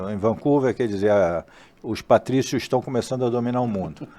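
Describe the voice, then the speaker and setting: In a dark, mellow tone, a man talks with ordinary pitch variation. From Brazil, Rio de Janeiro. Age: 60s. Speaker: port industry executive. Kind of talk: casual interview.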